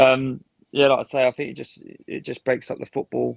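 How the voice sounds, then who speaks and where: A man with an English accent, talking at a fairly quick pace. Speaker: podcast co-host. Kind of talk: casual chat. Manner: quiet.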